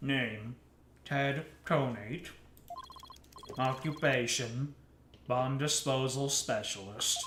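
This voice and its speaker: A man's put-on, robotic character voice at a medium pitch, very slow, with long, frequent pauses. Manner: flat, mechanical.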